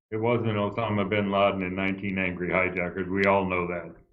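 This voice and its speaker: Audible room echo surrounds a man's fairly low voice. He talks very fast. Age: 70s. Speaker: retired airline pilot. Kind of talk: interview. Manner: animated.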